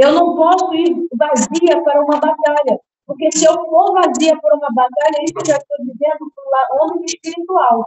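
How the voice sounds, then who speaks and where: The speaker keeps a moderate pace with hardly any pauses. The intonation stays fairly even. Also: woman, high pitch for a woman. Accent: Brazilian. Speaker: preacher. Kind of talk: sermon.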